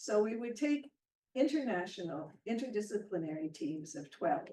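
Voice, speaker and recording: A woman with a Canadian accent speaks at a fairly slow pace in a dark, mellow tone. Her intonation is lively. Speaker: professor. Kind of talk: lecture. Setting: hybrid seminar with translators.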